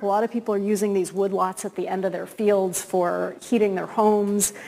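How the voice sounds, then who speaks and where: A woman with a dark, mellow tone at a moderate pace. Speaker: guest academic lecturer. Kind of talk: lecture. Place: hall.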